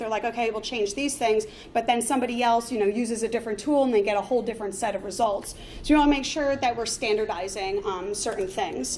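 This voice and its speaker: A very fast delivery with ordinary pitch variation and audible room echo. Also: woman. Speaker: conference speaker, front-end developer. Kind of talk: conference talk. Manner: many filler words.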